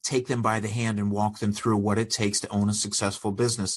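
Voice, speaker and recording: Talking at a fairly quick pace, a man with a fairly low pitch has an ordinary speaking voice. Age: 60s. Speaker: business owner and consultant. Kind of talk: podcast interview.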